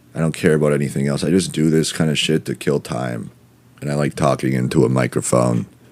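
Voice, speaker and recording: Rumbling and very deep, low in pitch, a man talks at a very fast pace with fairly even intonation over noticeable background noise. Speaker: comedy podcast host. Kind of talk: casual comedic monologue.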